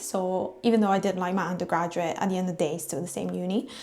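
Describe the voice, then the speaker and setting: A woman with an Italian accent speaks at a medium pitch, her voice showing vocal fry. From Italy. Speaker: vlogger. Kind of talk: casual vlog talk to camera. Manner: casual with fillers.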